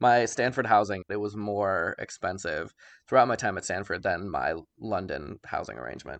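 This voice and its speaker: A man's fairly low voice in an American accent, at a moderate pace with ordinary pitch variation, against a quiet background. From US Midwest, Chicago. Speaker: graduate student advocate. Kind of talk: interview.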